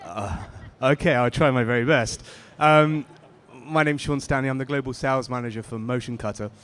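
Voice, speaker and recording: Speaking with a British accent, a man talks at a fairly quick pace with medium pitch and ordinary pitch variation. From Britain. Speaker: sales manager for a print finishing equipment maker. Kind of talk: panel discussion. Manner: hesitant, many fillers.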